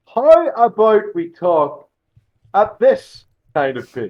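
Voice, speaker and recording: In a Scottish accent, a man speaks with lively intonation. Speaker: professional wrestler. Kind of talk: casual chat.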